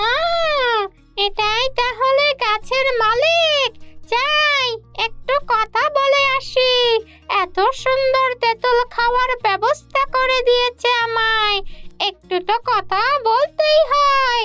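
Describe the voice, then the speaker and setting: A cartoonish, female-sounding character voice at an extremely high pitch speaks at a very slow pace over clear music in the background. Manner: brash, teasing.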